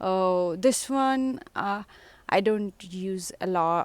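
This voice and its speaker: This woman speaks in a Telugu accent with ordinary pitch variation. The recording is very clean and the background silent. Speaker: home gardener vlogger. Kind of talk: casual garden tour. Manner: hesitant, many fillers.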